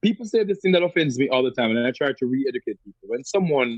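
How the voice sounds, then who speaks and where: A man with a Jamaican accent and lively intonation, in a dry, close sound with no echo. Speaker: radio show host and poet. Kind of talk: interview answer.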